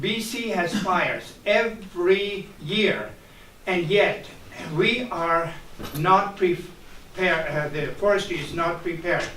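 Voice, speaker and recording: Over noticeable background noise and audible room echo, a man with a high pitch speaks in a raised, projected voice at a very slow pace with fairly even intonation. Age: 70s. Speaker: community member at public meeting. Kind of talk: public meeting question. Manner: halting with many fillers.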